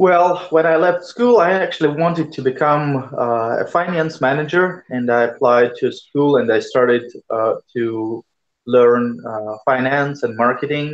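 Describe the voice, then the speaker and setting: At a fairly slow pace, a man with a Russian accent speaks in a fairly high pitch with ordinary pitch variation. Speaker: hardware startup founder. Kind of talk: interview. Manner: halting.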